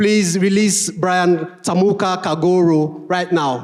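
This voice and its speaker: A man's high voice at a fairly slow pace, with fairly even intonation and noticeable background noise. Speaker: event emcee introducing keynote speaker. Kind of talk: event introduction speech.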